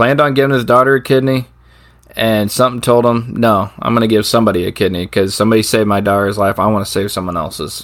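Very fast speech from a man at a medium pitch, with ordinary pitch variation. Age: 40s. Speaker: podcast co-host. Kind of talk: casual chat.

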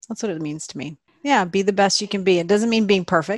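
In a quiet background, a woman with an American accent uses an ordinary speaking voice, fairly low in pitch with ordinary pitch variation. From Texas, Austin. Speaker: nonprofit fundraising entrepreneur. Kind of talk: interview conversation.

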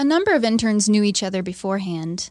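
A woman with an unremarkable speaking voice talks at a moderate pace, her pitch in the medium range. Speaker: church intern. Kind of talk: interview.

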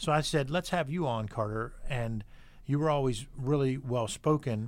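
On a very clean recording with a silent background, a man with an unremarkable speaking voice talks at medium pitch and moderate pace, with ordinary pitch variation. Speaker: podcast host. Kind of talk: casual interview with son. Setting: studio.

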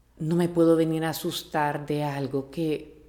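Soft-spoken, a woman with a Honduran accent uses a very deep, low pitch and fairly even intonation. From Honduras, Tegucigalpa. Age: 40s. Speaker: host's mother. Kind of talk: casual interview.

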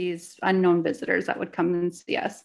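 In a quiet setting, a woman with a Canadian accent talks at a moderate pace and a medium pitch. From Canada. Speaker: podcast co-host, spiritual mentor and psychic medium. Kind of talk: personal storytelling.

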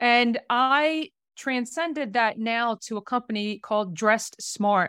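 A woman's ordinary speaking voice, fairly high-pitched, with ordinary pitch variation and an American accent, in a very clean recording with a silent background and a dry, close sound with no echo. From South Jersey, US. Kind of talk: casual interview conversation.

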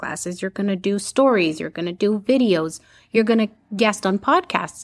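A woman with an ordinary speaking voice talks at a fairly quick pace at medium pitch with ordinary pitch variation, on a very clean recording with a silent background. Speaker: public speaking coach and visibility strategist. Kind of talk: professional interview, explaining advice.

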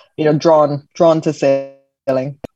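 Speaking with a British accent, a woman uses a very deep, low pitch, a dark, mellow tone and monotone, flat intonation. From British Jamaican. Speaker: Paralympic sailor. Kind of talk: interview.

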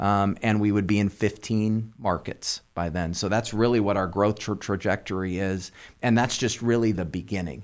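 With a Californian accent, a man speaks at a moderate pace with hardly any pauses, a fairly low pitch and fairly even intonation, on a very clean recording with a silent background. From Southern California. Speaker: company executive. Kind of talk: interview. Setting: studio.

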